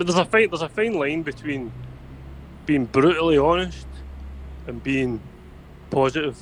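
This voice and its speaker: A man speaks with a Scottish accent, his pitch fairly high. He leaves long pauses often. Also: ordinary pitch variation, moderate pace. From Scotland. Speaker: podcast guest, political commentator. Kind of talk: casual chat. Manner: halting, repeats words.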